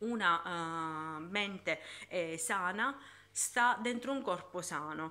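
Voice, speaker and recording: A woman speaks very slowly, with a fairly low pitch and a bright, sharp tone. Her intonation is lively. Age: 40s. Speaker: YouTuber and fitness instructor; YouTuber, fitness instructor. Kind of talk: casual vlog talk. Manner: halting. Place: home room. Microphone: phone near.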